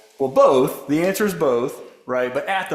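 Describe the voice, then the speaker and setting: Over audible room echo, a man with an American accent talks at a moderate pace. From US South, Memphis, Tennessee. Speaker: economics professor. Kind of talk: Q&A after a lecture.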